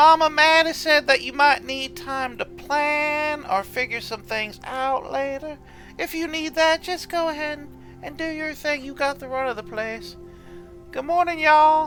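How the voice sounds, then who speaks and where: Someone uses a high-pitched, put-on character voice at a moderate pace over clear background music. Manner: friendly, welcoming.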